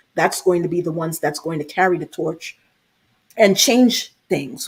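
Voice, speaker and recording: Somewhat breathy and fairly low in pitch, a woman speaks at a fairly slow pace with ordinary pitch variation. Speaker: military member and diversity advocate. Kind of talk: panel discussion.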